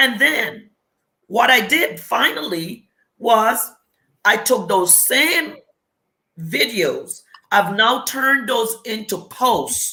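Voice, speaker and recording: Her tone is bright and sharp, with a fairly high pitch and lively intonation. The woman speaks at a very slow pace, with long, frequent pauses. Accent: Caribbean. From US Virgin Islands. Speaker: business coach. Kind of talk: interview. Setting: live video stream.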